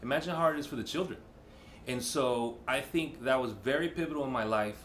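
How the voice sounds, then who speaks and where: Audible room echo surrounds a man at medium pitch talking at a fairly quick pace with an American accent and ordinary pitch variation. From Bay Area, California. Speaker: chef and former dancer. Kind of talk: interview monologue. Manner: code-switching Spanish and English.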